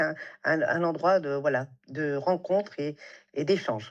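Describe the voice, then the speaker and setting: A woman speaks at a moderate pace in a fairly low pitch with ordinary pitch variation. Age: 60s. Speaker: beautician and salon entrepreneur. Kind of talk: interview conversation. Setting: podcast recording. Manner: hesitant, many fillers.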